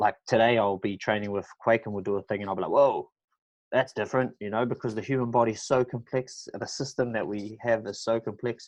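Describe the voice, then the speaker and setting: Speaking at a very fast pace with a New Zealand accent, a man keeps a medium pitch with ordinary pitch variation against a quiet background. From New Zealand, Auckland. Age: 20s. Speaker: professional mixed martial artist. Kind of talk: podcast interview. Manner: casual, halting with many fillers.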